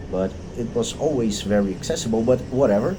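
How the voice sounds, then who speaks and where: Lively intonation marks this man's fairly low voice, spoken with a Portuguese accent. The room echo is audible, and background noise is noticeable. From Brazil. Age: 30s. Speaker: video creator. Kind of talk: unscripted monologue. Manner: halting, many fillers and restarts.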